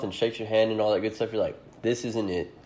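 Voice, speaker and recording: A man talks at a medium pitch. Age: 20s. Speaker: podcast host. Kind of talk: casual chat.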